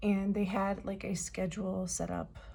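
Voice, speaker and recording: Audible room echo hangs around a woman who talks at a fairly slow pace. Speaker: K-pop fan vlogger. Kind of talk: casual vlog review. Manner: hesitant, many filler words.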